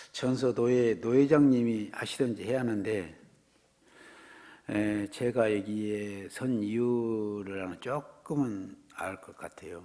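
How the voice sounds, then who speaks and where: A man talks very slowly at medium pitch, with ordinary pitch variation and big swings in loudness. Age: 60s. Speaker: guest preacher. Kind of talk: sermon. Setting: church.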